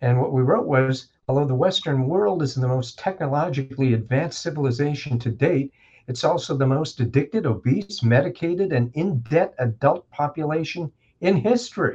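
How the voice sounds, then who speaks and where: A man with a fairly high, somewhat breathy voice speaks at a moderate pace with lively intonation. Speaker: chiropractor and educator. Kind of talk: casual interview conversation.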